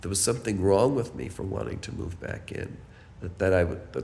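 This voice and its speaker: A man's fairly low voice carries vocal fry, with audible room echo around it. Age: 70s. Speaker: building resident. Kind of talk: personal testimony.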